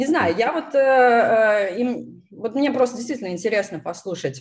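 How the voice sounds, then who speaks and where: A woman's somewhat breathy voice makes very wide pitch swings. The background is quiet. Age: 30s. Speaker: YouTube channel host on product management. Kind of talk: casual live-stream interview. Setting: live stream over video call.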